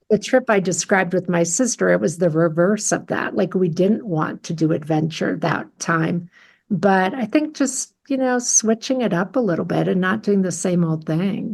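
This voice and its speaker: In an American accent, a woman with a somewhat breathy voice speaks at a moderate pace and medium pitch with lively intonation, on a very clean recording with a silent background. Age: 60s. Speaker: coach and therapist. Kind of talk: casual interview.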